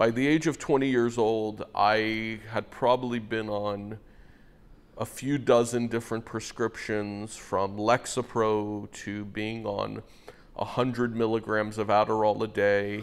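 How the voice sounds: Speaking at a fairly slow pace, a man keeps his fairly low pitch with little pitch movement.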